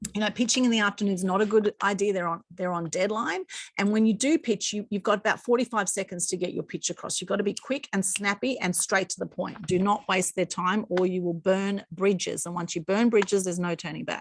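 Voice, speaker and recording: A woman with an Australian accent talks at a fairly quick pace, at medium pitch with ordinary pitch variation and hardly any pauses. The sound is dry and close with no echo, over a quiet background. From Australia, Sydney northern beaches. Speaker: PR consultant and former journalist. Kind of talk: online masterclass presentation. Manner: fast.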